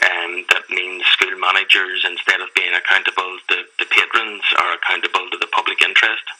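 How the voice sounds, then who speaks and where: Over noticeable background noise, a man talks at a fairly quick clip with hardly any pauses. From Northern Ireland, Belfast. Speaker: campaigner for a secularist group. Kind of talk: radio interview.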